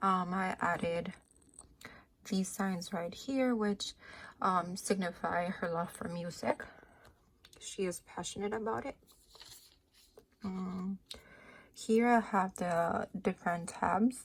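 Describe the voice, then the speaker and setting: A somewhat breathy woman at a medium pitch, very slow in pace, with long, frequent pauses and ordinary pitch variation. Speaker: speech-language pathology student. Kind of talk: class project presentation.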